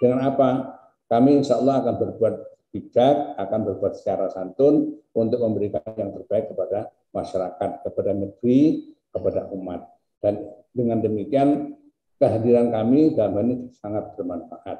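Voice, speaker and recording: A man talks at a moderate pace against a quiet background, with audible room echo. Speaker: university rector. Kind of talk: formal speech. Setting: video call. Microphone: video call.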